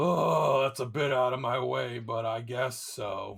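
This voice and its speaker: A man puts on a raspy, grumpy character voice at a medium pitch, speaking at a fairly slow pace. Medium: actual play. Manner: grumpy, condescending.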